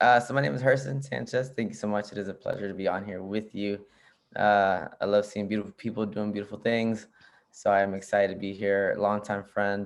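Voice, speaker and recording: Over a quiet background, a man talks at a fairly quick pace with a fairly low pitch. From US, Arlington, Virginia, Nicaraguan family. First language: Spanish. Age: 30s. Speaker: PhD candidate and social justice show host. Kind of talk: casual interview chat. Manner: casual, many fillers.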